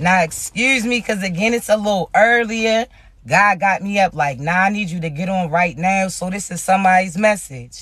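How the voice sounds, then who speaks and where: This man's voice is high-pitched, loud, bright and sharp. He keeps a moderate pace with ordinary pitch variation. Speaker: spiritual reader. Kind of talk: spiritual channeled message. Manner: casual, conversational.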